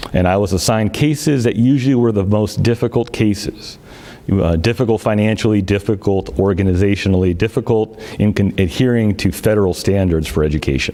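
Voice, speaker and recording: A man speaks at a fairly quick pace and fairly low pitch, with ordinary pitch variation and very even loudness. Noticeable background noise runs beneath him. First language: Greek. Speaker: city manager candidate, former auditor. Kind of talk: public statement at council meeting. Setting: teleconference.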